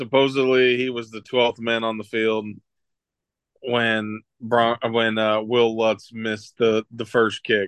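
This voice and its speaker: A man's medium-pitched, monotone, flat voice at a very slow pace. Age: 30s. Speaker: sports podcast co-host. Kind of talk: casual chat.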